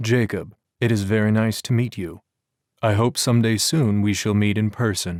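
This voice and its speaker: A man's put-on character voice, rumbling and fairly low in pitch, at a moderate pace in a very clean recording with a silent background. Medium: read story. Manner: grave, formal.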